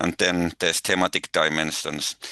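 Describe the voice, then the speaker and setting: A man with a Finnish accent talks at a moderate pace, his bright, sharp tone touched with vocal fry, in a dry, close sound with no echo and a quiet background. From Finland. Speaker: eco-anxiety researcher. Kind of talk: webinar talk. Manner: halting.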